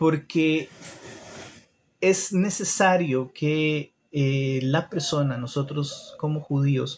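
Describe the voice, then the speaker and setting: A man with a fairly high, somewhat breathy voice speaks at a very slow pace with fairly even intonation and long, frequent pauses. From Costa Rica. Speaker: livestreamer teaching about Judaism. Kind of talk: live stream talk with viewer comments. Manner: halting, many fillers.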